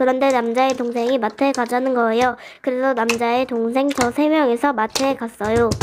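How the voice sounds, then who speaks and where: Noticeable background noise sits behind a woman whose high voice stays monotone and flat at a moderate pace. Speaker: slime radio host. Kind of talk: reading a listener's story, radio-show style.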